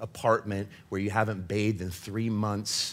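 A man with an American accent and a fairly low pitch talks in an animated tone at a fairly quick pace, on a very clean recording with a silent background. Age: 40s. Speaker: preacher. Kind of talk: sermon. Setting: church with audience. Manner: animated, humorous, digressive.

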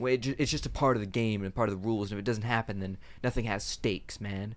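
This man's voice is fairly low-pitched, with fairly even intonation. The recording is very clean, with a silent background. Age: young. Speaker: podcast co-host, tabletop gamer. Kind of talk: casual chat.

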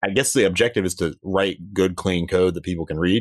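The background is quiet, and the sound is dry and close with no echo. A man speaks with a very deep, low pitch. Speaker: podcast host. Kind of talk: podcast interview.

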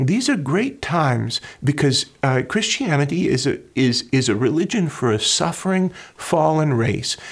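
Fairly high in pitch, a man speaks at a fairly slow pace with lively intonation. His voice is somewhat breathy, and his loudness stays very even. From rural North Dakota. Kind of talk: casual interview conversation.

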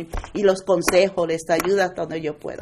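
At a moderate pace and medium pitch, a woman speaks in an unremarkable speaking voice. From United States, Puerto Rican-born. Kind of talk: testimony.

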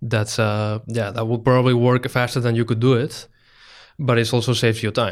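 On a very clean recording with a silent background, a man with a Spanish accent speaks at a fairly quick pace in a medium pitch, his intonation monotone and flat. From Spain. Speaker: startup co-founder. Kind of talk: interview.

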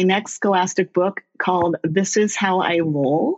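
Speaking fairly slowly with lively intonation, a woman uses a normal speaking voice at a medium pitch. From California. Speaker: children's book author. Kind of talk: interview.

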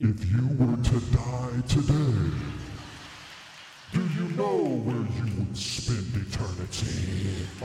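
Using a put-on character voice, a man speaks at a very slow pace with clear echo and clear background noise. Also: medium pitch for a man. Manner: ominous.

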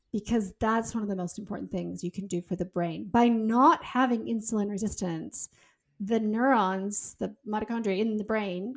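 A woman speaks in an unremarkable speaking voice. Her pitch is medium and her intonation fairly even. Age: 50s. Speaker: author and health expert. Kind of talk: interview.

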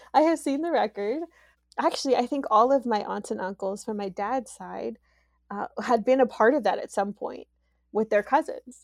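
A woman with an American accent and a normal speaking voice, fairly high-pitched, at a moderate pace with ordinary pitch variation, recorded dry and close with no echo. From US Midwest (Youngstown, Ohio). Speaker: podcast guest. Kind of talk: casual interview.

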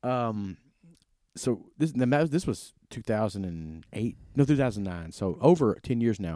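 A man with a Mississippi accent talks at a fairly slow pace and a medium pitch, his pitch swinging very widely. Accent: US Southern (Mississippi). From Mississippi Delta (Indianola). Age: 30s. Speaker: podcast host. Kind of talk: casual chat. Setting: in a converted bank venue downtown.

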